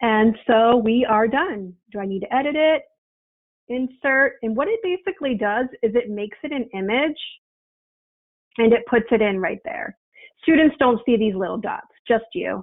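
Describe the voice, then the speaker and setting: With lively intonation and a fairly high pitch, a woman speaks at a moderate pace. Her speech has long, frequent pauses. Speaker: education trainer and consultant. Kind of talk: online workshop tutorial. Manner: hesitant, many fillers.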